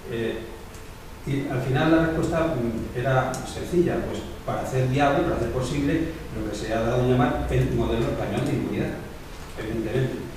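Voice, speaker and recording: There is strong room echo and noticeable background noise. A man talks at a fairly quick pace. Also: ordinary pitch variation. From Spain. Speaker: documentary maker, victims' advocate. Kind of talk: prepared speech. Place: meeting room.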